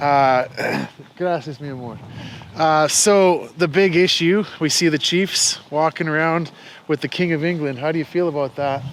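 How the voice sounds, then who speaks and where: A man with a fairly high pitch, an unremarkable speaking voice, and a moderate pace. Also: ordinary pitch variation. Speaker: YouTube channel host, interviewer. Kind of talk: casual conversational interview, walking and talking.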